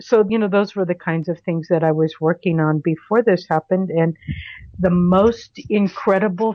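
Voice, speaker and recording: A woman talks in a normal speaking voice with ordinary pitch variation. Her pitch is fairly low. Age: 60s. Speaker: podcast guest sharing spiritual story. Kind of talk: personal testimony.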